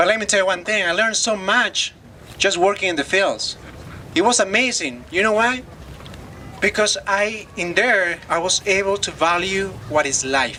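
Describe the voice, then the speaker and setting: Over noticeable background noise, a man with a Spanish accent talks at a moderate pace in a raised, projected voice pitched high for a man. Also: ordinary pitch variation. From Loja, Ecuador. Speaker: former farm worker. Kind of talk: testimony.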